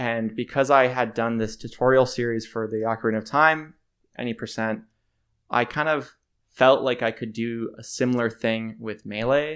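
On a very clean recording with a silent background, a man speaks in an unremarkable speaking voice at medium pitch, with fairly even intonation and a moderate pace. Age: 20s. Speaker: content creator and music producer. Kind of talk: casual interview chat.

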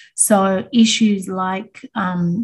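Somewhat breathy female voice, medium-pitched for a woman, with monotone, flat intonation. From Australia. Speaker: business founder. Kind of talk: interview.

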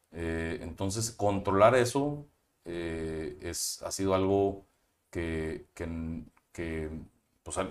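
A man talks at a very slow pace with lively intonation, big swings in loudness, and long, frequent pauses. The recording is very clean, with a silent background. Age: 30s. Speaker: entrepreneur. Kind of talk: interview. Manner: halting.

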